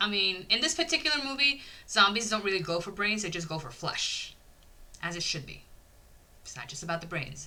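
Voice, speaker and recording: A woman speaks at a medium pitch and fairly quick pace in an animated tone, with very wide pitch swings and big swings in loudness. She leaves long, frequent pauses, and audible room echo can be heard. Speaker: YouTube horror movie reviewer. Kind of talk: casual video review monologue.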